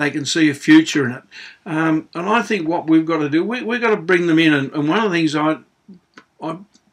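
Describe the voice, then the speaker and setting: With an Australian accent, a man talks at a fairly quick pace in a fairly high voice with ordinary pitch variation. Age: 60s. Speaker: auctioneer and public speaker. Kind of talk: opinion monologue to camera. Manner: casual, conversational with hesitations.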